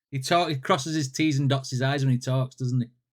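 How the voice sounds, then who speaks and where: In a northern English accent, a man talks at a very fast pace and a medium pitch with fairly even intonation. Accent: northern English twang. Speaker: music reaction youtuber. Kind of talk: casual reaction commentary. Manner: casual, repetitive.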